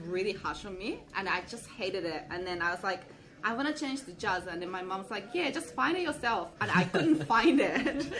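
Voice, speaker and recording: Delivered at a fairly quick pace with very wide pitch swings, the speech carries a Japanese accent, audible room echo and noticeable background noise. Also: woman. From Japan (rural Kochi Prefecture). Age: 20s. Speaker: hip hop dance instructor. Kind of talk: casual interview.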